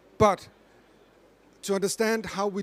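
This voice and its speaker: The speaker is a man. He talks with a Danish accent. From Denmark. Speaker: corporate climate expert, panelist. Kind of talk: panel discussion.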